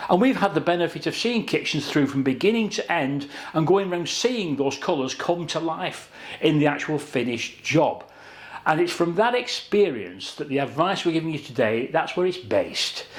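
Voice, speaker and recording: A man with a British accent and a fairly high pitch talks at a moderate pace with lively intonation. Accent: British regional accent, noticeable. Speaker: kitchen designer. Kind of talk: tutorial. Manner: conversational, measured.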